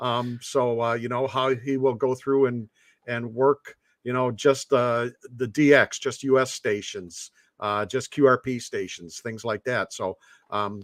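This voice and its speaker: In an ordinary speaking voice, a man of medium pitch talks at a fairly slow pace with fairly even intonation, in a dry, close sound with no echo. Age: 60s. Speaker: ham radio operator. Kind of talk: casual chat. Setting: live stream.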